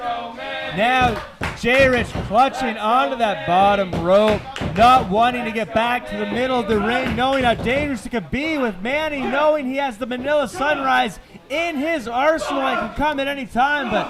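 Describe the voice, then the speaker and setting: Music plays in the background as a man speaks at an extremely high pitch. His pace is moderate and his pitch varies in an ordinary way. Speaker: wrestling announcer and commentator. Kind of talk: live wrestling match call.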